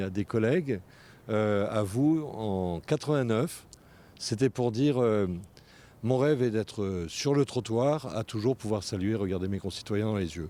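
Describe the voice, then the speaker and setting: At a fairly slow pace, this dark, mellow voice moves with ordinary pitch variation on a very clean recording with a silent background. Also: man. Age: 60s. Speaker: local politician. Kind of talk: interview. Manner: halting, many hesitations.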